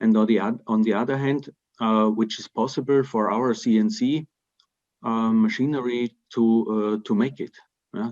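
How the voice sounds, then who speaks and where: In a quiet background, a man speaks at a moderate pace and medium pitch with fairly even intonation and long, frequent pauses. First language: German (Austrian dialect). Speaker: timber construction company representative; panelist. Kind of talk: webinar Q&A. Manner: halting, many repetitions and fillers. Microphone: video call.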